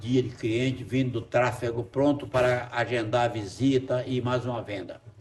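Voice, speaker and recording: The speech moves at a fairly slow pace. Noticeable background noise sits behind it. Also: man. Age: 70s. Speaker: real estate agent, testimonial. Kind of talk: testimony.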